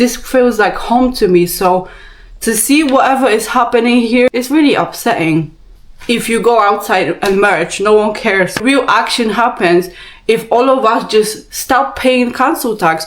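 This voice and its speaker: At a fairly slow pace, a woman with a Polish accent speaks at a fairly high pitch and very even loudness, with noticeable background noise. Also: ordinary pitch variation. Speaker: vlogger. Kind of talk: rant. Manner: animated.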